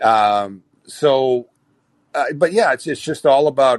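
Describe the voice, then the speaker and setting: A man with an American accent, recorded with a dry, close sound and no echo. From Minnesota, small town. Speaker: regular caller. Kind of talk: casual discussion. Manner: repetitive, halting.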